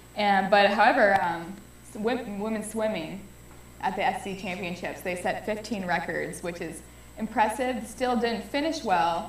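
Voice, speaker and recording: A woman with a Californian accent speaks at medium pitch and a moderate pace, with ordinary pitch variation. Noticeable background noise and audible room echo fill the recording. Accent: Californian American English. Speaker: student sports show co-host. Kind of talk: casual sports talk show.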